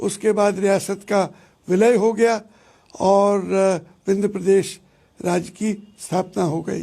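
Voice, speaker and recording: In a very clean recording with a silent background, a man speaks in a high, flat monotone with a dark, mellow tone. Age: 70s. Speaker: former royal family head. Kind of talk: interview. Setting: Facebook live interview.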